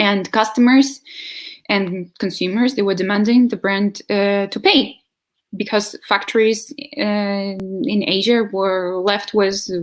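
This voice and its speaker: It is an unremarkable speaking voice. A woman talks at a fairly slow pace and a medium pitch, with fairly even intonation. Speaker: sustainable living advocate. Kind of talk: video interview.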